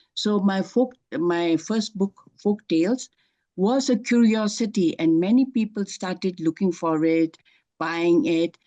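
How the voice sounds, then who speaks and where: Dry and close with no echo, a woman's dark, mellow voice of medium pitch holds very even loudness, moves at a fairly slow pace and shows ordinary pitch variation. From Bhutan. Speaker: author. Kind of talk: interview. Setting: festival interview. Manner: halting, many fillers.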